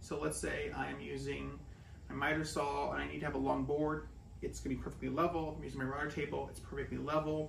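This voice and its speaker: A man is heard with audible room echo and light background noise in the recording. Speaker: woodworking YouTuber. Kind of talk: casual vlog-style review. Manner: casual, unscripted. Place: workshop. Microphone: camera far.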